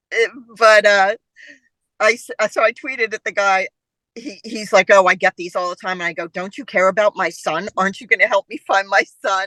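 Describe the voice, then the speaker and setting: Fairly quick, animated speech in a bright, sharp tone, with big swings in loudness, ordinary pitch variation and a dry, close sound with no echo. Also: woman, medium pitch for a woman. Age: 60s. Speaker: actor, mother of the director. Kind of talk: casual chat.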